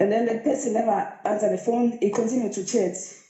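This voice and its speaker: Noticeable background noise and audible room echo surround a woman whose pitch varies in an ordinary way. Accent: Zulu. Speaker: caller to live show. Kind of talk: personal story.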